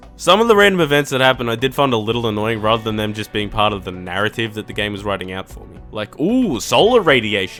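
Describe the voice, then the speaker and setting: Music plays behind a man with an Australian accent at medium pitch. He talks at a very fast pace with ordinary pitch variation. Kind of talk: casual video game review narration. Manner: sarcastic, jokey.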